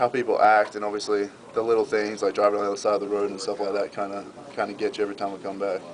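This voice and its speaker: A man talks in a flat monotone at a fairly low pitch and a very fast pace. Noticeable background noise runs underneath. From Australia. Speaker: college football player. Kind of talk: interview answer.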